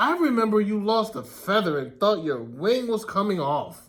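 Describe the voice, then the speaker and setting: The delivery moves at a moderate pace. It is a put-on character voice. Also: man, high pitch for a man. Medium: read story.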